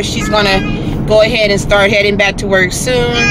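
Loud background noise surrounds a woman as she speaks. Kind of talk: casual vlog chat. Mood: proud, warm. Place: car. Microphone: phone near.

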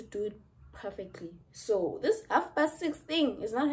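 The voice belongs to a woman. A somewhat breathy quality runs through it. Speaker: student vlogger. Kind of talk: casual vlog chat. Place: home room. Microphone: phone near.

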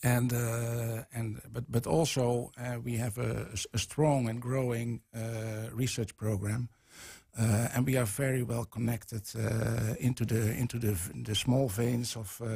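Over a quiet background, a man with a dark, mellow, somewhat breathy tone speaks at a fairly slow pace with monotone, flat intonation. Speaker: guest. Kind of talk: interview answer. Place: studio. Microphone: studio mic.

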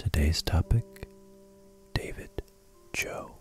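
A soft-spoken, calm voice moves at a very slow pace, the sound dry with no echo and faint music in the background. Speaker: ASMR channel host. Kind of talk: ASMR sleep history lesson, soft-spoken narration. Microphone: studio mic.

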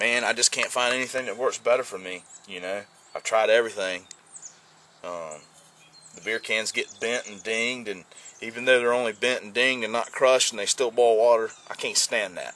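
A man speaks at a fairly quick pace with fairly even intonation. The sound is dry, with no echo. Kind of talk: casual gear demo chat. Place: open country. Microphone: camera far.

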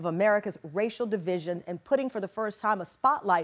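Here a woman talks at a fairly quick pace. Her intonation is lively. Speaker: talk show host. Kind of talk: show host introduction. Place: studio.

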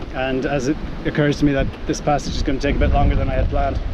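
Against noticeable background noise, a man speaks with monotone, flat intonation. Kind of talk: casual vlog chat. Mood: upset, self-critical, adrenaline. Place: boat. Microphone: phone near.

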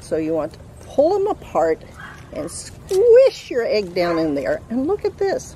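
Over light background noise, a woman speaks at a fairly slow pace with a dry sound and no echo. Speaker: craft instructor for children. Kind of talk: tutorial. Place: garden. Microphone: camera far.

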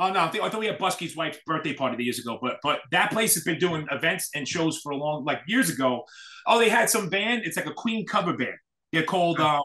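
In an American accent, a high-pitched man talks very fast with lively intonation. His tone is bright and sharp, over a quiet background. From New York City. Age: 40s. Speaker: hardcore scene event promoter. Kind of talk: casual chat. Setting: video call. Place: home room. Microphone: video call.

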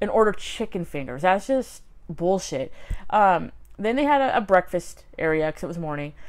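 A woman's voice with very wide pitch swings. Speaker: vlogger. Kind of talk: casual vlog chat. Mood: ranting, sarcastic. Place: home room. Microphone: phone near.

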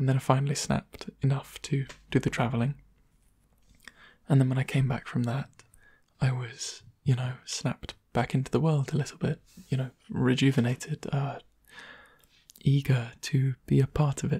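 Soft-spoken with a gentle tone, the speaker leaves long, frequent pauses. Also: man, moderate pace, quiet background. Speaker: ASMR creator. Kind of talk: soft-spoken ASMR talk to camera, casual catching-up chat. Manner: soft-spoken, gentle, conversational. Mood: warm, smiling, reflective. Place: home room. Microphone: studio mic.

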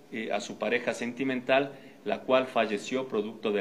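A man keeps a moderate pace against light background noise. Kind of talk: official press statement. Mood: formal, serious. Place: meeting room.

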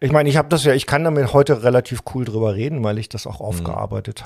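A male speaker rushes along at a very fast pace, his delivery somewhat breathy and his pitch varying in an ordinary way. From Germany, Saarland. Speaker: journalist and activist. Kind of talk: interview conversation.

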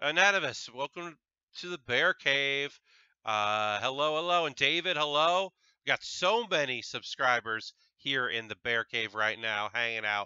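The voice has an American accent and very wide pitch swings at a fairly slow pace. The sound is dry with no echo, and the background is quiet. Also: man. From Connecticut, US. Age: 30s. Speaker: Lego building livestreamer. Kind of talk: casual live stream with chat. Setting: home live stream on Twitch. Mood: cheerful, relaxed. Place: home room. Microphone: headset.

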